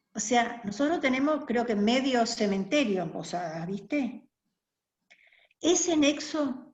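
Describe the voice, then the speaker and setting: Over audible room echo, a high-pitched woman speaks at a very slow pace with very wide pitch swings. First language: German (speaking Spanish). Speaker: interviewee, community member. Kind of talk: oral history interview.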